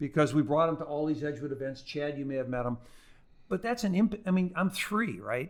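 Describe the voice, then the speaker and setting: An ordinary speaking voice from a man, fairly high in pitch, with lively intonation and a fairly quick pace. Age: 60s. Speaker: lawyer and business school teacher. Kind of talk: podcast interview.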